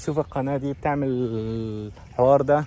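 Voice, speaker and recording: A man speaks at a medium pitch. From Kuwait and Egypt. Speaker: vlogger. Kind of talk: casual vlog storytelling. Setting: outdoors, walking. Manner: animated.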